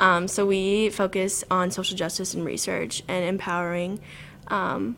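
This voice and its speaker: Here is a woman with an ordinary speaking voice and an American accent. Her pitch is medium and her intonation fairly even. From Southern Illinois. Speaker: university student. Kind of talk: casual interview.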